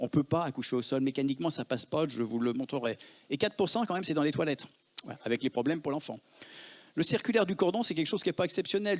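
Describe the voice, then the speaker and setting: A man with a Lyon accent, fairly high in pitch, with lively intonation and a very fast pace. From Lyon, France. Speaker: emergency physician. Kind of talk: conference talk.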